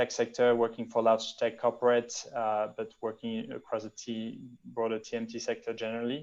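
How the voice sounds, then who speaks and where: A man with a French accent speaks at medium pitch. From France. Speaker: venture capital investor. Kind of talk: interview. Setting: video call. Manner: halting with repetitions.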